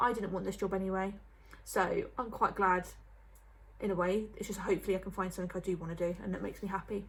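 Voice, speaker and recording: Woman's medium-pitched, somewhat breathy voice at a fairly quick pace. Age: 20s. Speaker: vlogger. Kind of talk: casual chat. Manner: fast.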